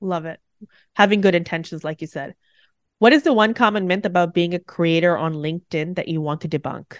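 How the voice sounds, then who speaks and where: Speaking with an ordinary speaking voice at a fairly quick pace, a woman with a fairly low pitch and ordinary pitch variation swings widely in loudness, her dry, close sound carrying no echo over a quiet background. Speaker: podcast host. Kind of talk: interview, rapid-fire questions.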